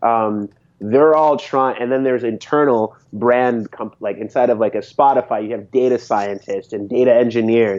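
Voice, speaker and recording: A man speaks at a moderate pace with hardly any pauses. His medium-pitched voice keeps a fairly even intonation. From Connecticut, New England (immigrated as child early 90s). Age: 30s. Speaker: designer and strategist. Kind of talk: casual interview chat. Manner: mellow, chill.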